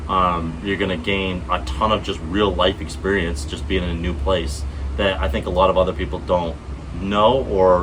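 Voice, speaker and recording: An American accent comes through with ordinary pitch variation, audible room echo and noticeable background noise. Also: man. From US Northeast, Vermont. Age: 20s. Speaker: vlogger. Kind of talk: casual vlog monologue. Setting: outdoors, garden setting. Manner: halting, many fillers. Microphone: unsure if earbuds are connected, may sound quiet.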